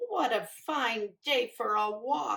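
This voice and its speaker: A woman uses a put-on character voice. It is raspy and fairly high in pitch. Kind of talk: bedtime story. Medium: read story. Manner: quacking, motherly.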